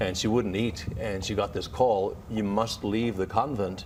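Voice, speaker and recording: Over noticeable background noise, a man with an Irish accent speaks at a moderate pace and fairly low pitch, his intonation fairly even. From Ireland. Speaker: author and health expert. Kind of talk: TV interview.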